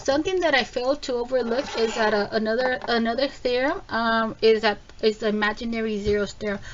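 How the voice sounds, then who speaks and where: A woman's fairly high voice at a fairly quick pace, with hardly any pauses and noticeable background noise. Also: ordinary pitch variation. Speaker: math teacher. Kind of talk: tutorial. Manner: casual with many fillers.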